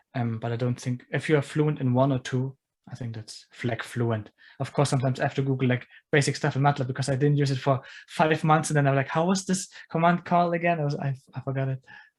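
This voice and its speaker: A somewhat breathy man with a fairly high pitch at a very fast pace, his intonation fairly even, in a very clean recording with a silent background. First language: non-English. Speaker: engineer, podcast guest. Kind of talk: casual interview chat.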